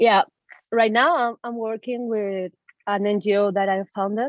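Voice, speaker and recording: Speaking with a Spanish accent, a woman at a medium pitch keeps a fairly slow pace and fairly even intonation. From Venezuela, Caracas. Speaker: medical student and activist. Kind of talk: interview.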